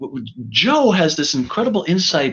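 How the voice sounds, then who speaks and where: In an American accent, a man's high voice rises and falls in very wide pitch swings. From New York City (Bronx). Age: 60s. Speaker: fire chief. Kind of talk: panel discussion. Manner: stammering, many repeated words.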